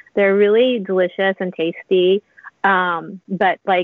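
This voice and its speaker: A woman with an American accent speaks in an unremarkable speaking voice at medium pitch, her intonation fairly even. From US South, Louisiana. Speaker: food and drink writer. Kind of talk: casual interview. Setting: video call.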